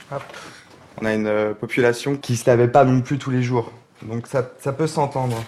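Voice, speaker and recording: Medium-pitched male speech with fairly even intonation and long, frequent pauses amid noticeable background noise. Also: fairly slow pace. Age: 30s. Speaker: nursing assistant. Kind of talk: on-the-job interview. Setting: nursing home.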